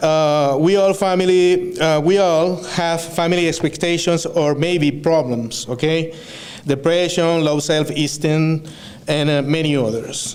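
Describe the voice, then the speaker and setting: Over noticeable background noise and audible room echo, a man with a Venezuelan accent talks at a fairly slow pace, his pitch fairly high and his loudness very even. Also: fairly even intonation. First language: Spanish. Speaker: student speaker. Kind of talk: graduation speech. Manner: halting, with many fillers and self-corrections.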